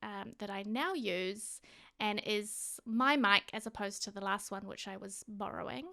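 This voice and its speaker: On a very clean recording with a silent background, a woman with a New Zealand accent speaks at a fairly slow pace. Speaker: gaming youtuber. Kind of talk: voiceover narration. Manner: casual, hesitant. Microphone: new directional microphone.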